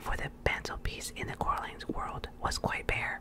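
A woman whispers at a moderate pace. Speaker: reader. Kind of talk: soft story reading aloud. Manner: soft close-mic ASMR reading voice. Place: home room. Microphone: studio mic.

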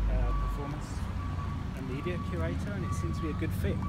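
A man talks at a fairly quick pace over loud background noise, the sound dry with no echo. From Birmingham, England. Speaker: museum curator. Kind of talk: interview answer on a walk. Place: street. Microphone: phone near.

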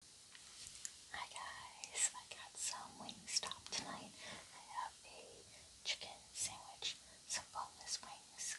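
A woman is whispering at a very slow pace. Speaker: ASMR mukbang creator. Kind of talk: ASMR mukbang talk. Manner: soft whispered. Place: home room.

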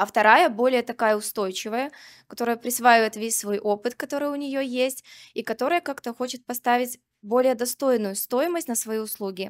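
Moderate pace and ordinary pitch variation against a quiet background. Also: woman, high pitch for a woman. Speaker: doctor, coach and psychologist in training; coach. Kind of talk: audience question at a live talk. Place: hall. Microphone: handheld.

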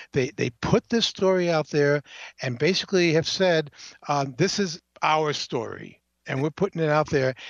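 In a normal speaking voice with a fairly high pitch, a man speaks at a moderate pace with ordinary pitch variation, in a dry, close sound with no echo and a quiet background. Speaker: journalist. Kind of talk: casual phone chat. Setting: phone call.

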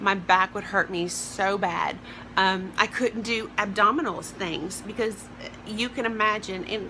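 A woman with a Southern US accent at a moderate pace, fairly even intonation and noticeable background noise. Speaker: vlogger. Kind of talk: personal vlog. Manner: hesitant, many fillers. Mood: upbeat, open, personal. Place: home room. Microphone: phone near.

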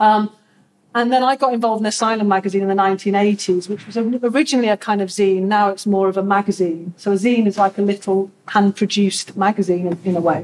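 In an ordinary speaking voice, a woman talks at a fairly quick pace with fairly even intonation. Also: medium pitch for a woman. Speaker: community sector worker facilitating the session. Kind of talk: group discussion facilitation. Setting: in-person community event with audience. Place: hall. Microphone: camera far.

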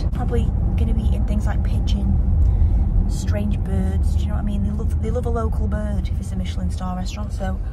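A woman talking at a fairly quick pace with hardly any pauses and ordinary pitch variation, over loud background noise. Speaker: vlogger. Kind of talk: casual vlog chat. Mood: cheerful, laughing at times. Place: car. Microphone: phone near.

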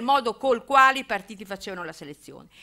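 A woman speaks with a bright, sharp tone. The background is quiet. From Emilia-Romagna, Italy. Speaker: political theory professor. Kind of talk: public lecture. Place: hall. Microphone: podium.

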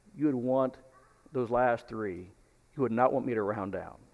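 At a moderate pace, this speaker talks with an American accent. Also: man. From Texas. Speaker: preacher. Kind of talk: sermon. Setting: church. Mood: light, joking. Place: church. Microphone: headset.

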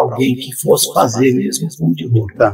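Fairly quick speech from a man, set against a quiet background. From southern Pará, Brazil. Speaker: writer; guest. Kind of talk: casual chat. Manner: halting, many repetitions. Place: home room.

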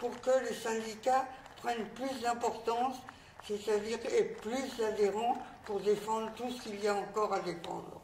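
A woman speaks at a fairly slow pace with fairly even intonation and a fairly high pitch. Light background noise and audible room echo are present. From France. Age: 80s+. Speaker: former resistance fighter. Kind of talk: recorded message. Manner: halting. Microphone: lapel.

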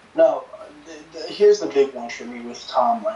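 Light noise and audible room echo around a male voice. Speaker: co-host, fan on video call. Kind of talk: angry rant, heated fan reaction. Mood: frustrated, ranting. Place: home room. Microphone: camera far.

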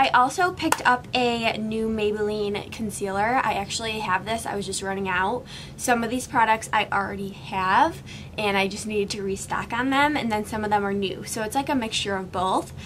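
Speech at a moderate pace with ordinary pitch variation comes through over light background noise. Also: woman. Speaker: beauty vlogger. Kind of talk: tutorial. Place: home room.

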